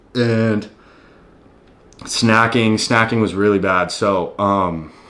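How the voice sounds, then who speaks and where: This man has an American accent, a fairly low pitch, and a bright, sharp tone, speaking at a very slow pace. His intonation stays fairly even, and audible room echo surrounds the voice. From US South, Tennessee. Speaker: fitness YouTuber. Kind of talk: casual vlog talk.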